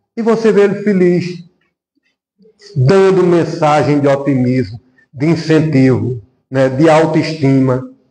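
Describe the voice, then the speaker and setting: Very slow, very evenly loud speech with a dark, mellow tone, lively intonation and audible room echo. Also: man, fairly high pitch for a man. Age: 60s. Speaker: spiritist lecturer. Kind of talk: sermon.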